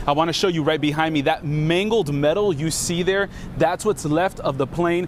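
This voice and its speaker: High pitch from a male speaker, with noticeable background noise behind him. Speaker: TV news reporter. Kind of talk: TV news live report.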